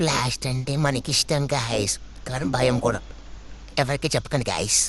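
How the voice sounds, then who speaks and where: A put-on character voice speaks at a low-to-middle pitch and a moderate pace. Clear background noise can be heard. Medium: voice reel. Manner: chatty, playful.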